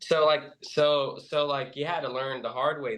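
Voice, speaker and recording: At a moderate pace, a man of medium pitch speaks with an American accent. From US West, Central California. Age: 30s. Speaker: gamer, video editor. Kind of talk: casual chat.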